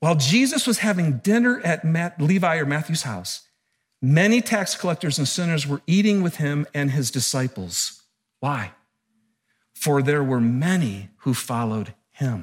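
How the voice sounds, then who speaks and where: Somewhat breathy and animated, a man's fairly high voice swings very widely in pitch at a moderate pace. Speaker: pastor. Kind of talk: sermon.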